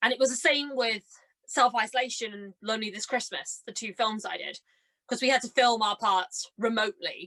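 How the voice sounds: At a moderate pace, a woman with a fairly high pitch and a bright, sharp tone speaks with ordinary pitch variation in a dry, close sound with no echo.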